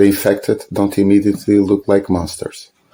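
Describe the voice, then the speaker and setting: This man speaks with a Portuguese accent. His pace is moderate. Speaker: film video essayist. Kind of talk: scripted narration.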